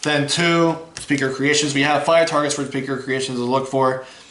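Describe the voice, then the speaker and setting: A man speaks at a fairly quick pace and a medium pitch with fairly even intonation, amid noticeable background noise and audible room echo. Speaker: card game YouTuber. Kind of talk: deck profile tutorial. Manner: fast; casual, halting with fillers.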